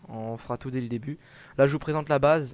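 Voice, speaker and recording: A man with a medium-pitched voice speaks at a moderate pace with fairly even intonation, on a very clean recording with a silent background. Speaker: gaming video creator. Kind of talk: gameplay commentary. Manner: casual, hesitant with many fillers.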